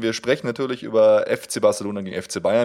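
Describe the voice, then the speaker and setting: A man at a fairly quick pace, very cleanly recorded over a silent background. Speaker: fan podcast co-host. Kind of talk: casual chat. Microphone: new high-end microphone with pop filter.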